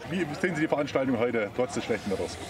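Speaking very fast, a man uses lively intonation at medium pitch. Background noise is clearly heard.

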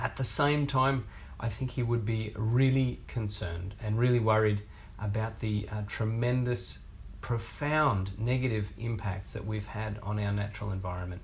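With an Australian accent, a man speaks at a moderate pace in a fairly low, somewhat breathy voice. His intonation stays fairly even, over light background noise. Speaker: researcher, research fellow. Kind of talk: prepared video statement. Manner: earnest. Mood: earnest, concerned. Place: office.

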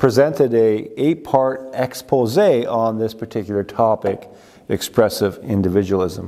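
Over a quiet background, a man speaks at a fairly slow pace in a dark, mellow tone with ordinary pitch variation. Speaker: pastor. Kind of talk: sermon. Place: church. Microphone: lapel.

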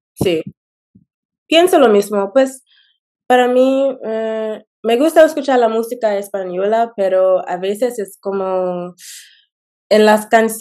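With a dark, mellow tone and lively intonation, a woman speaks very slowly with long, frequent pauses against a quiet background. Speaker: YouTuber learning Spanish. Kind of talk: interview. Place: home room. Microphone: video call.

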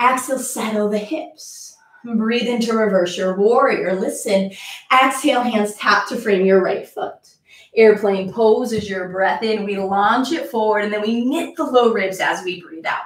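A woman speaks at a fairly slow pace with a fairly high pitch. Room echo is audible. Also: ordinary pitch variation. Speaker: yoga instructor. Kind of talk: live-streamed yoga class, instructional cueing. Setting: video call. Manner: calm, rhythmic, clipped cueing; warm, upbeat. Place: home room. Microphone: camera far.

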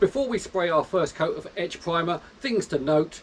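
A man talks with ordinary pitch variation. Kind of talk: tutorial. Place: garage. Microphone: camera far.

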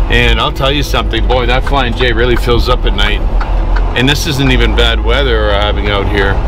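A man speaks at a moderate pace. The sound is dry with no echo, with noticeable background noise. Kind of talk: casual vlog chat. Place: car. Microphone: camera far.

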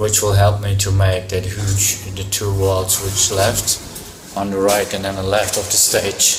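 A moderate-paced male voice, fairly low in pitch, over background music. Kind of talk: casual vlog chat. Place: hall. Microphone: phone near.

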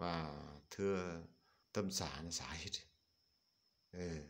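Audible echo from the room surrounds this man as he talks. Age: old. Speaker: Buddhist monk. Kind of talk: dharma talk. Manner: halting.

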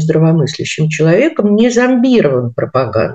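A woman with a fairly low pitch and a dark, mellow tone speaks at a moderate pace. The background is quiet. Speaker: philologist and university lecturer. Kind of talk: interview. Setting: studio. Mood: indignant, reflective. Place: home room. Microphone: video call.

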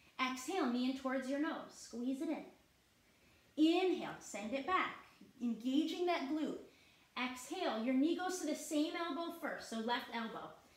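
The woman's voice is high in pitch. Audible room echo surrounds it. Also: ordinary pitch variation. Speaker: yoga instructor. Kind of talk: guided yoga class, calm step-by-step cueing with short teaching asides. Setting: online class with participants on video call. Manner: soothing, slow, steady and encouraging; warm and clear, with a gentle upbeat tone. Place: home room.

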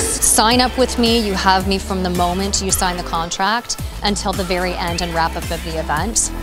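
Clear music plays behind a woman who speaks with hardly any pauses. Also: moderate pace. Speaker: benefit auctioneer; fundraising consultant. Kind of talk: casual talk to camera promoting her services. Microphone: handheld.

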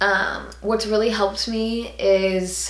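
A woman's monotone, flat delivery with audible room echo. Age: 20s. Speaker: YouTuber. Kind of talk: casual Q&A vlog. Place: home room.

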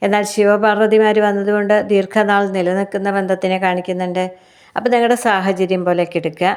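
Her intonation stays monotone and flat. This woman's voice sits at a medium pitch. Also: very even loudness. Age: 50s. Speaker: tarot reader. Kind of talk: tarot reading monologue.

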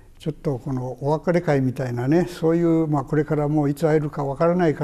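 This man speaks at a very fast pace. His intonation is fairly even. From Hiroshima, Japan; Japan. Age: 80s+. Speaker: atomic bomb survivor. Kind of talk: testimony. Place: home room.

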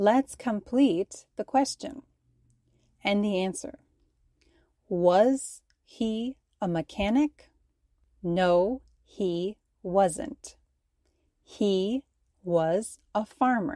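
Speaking in a General American accent at a very slow pace with long, frequent pauses, a woman of medium pitch has a dark, mellow tone and lively intonation, the sound dry and close with no echo. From United States. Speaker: English teacher. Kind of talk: ESL grammar lesson. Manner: slow, clear.

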